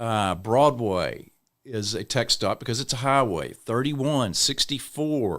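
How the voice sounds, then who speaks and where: In an East Texas accent, a man speaks at a fairly slow pace with a medium pitch and ordinary pitch variation on a very clean recording with a silent background. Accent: East Texas Southern US. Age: 60s. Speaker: city councilman and mayoral candidate. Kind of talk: podcast interview. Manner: casual conversational.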